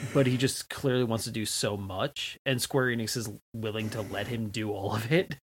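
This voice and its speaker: Somewhat breathy and at a moderate pace, the voice shows ordinary pitch variation in a very clean recording with a silent background. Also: man, medium pitch for a man. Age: 30s. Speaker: video game podcast guest. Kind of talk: casual chat.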